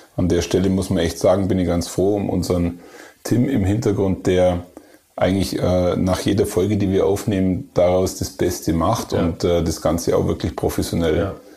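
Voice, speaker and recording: With an Allgäu accent, a man speaks at a moderate pace in a very deep, low pitch, with fairly even intonation and very even loudness over noticeable background noise. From Germany, Allgäu. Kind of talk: casual chat.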